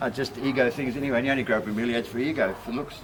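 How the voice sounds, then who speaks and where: Over noticeable background noise, a man with a New Zealand accent talks at a very fast pace, his medium-pitched voice keeping a fairly even intonation. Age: 60s. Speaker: bromeliad grower. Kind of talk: gardening demonstration. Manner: casual, relaxed.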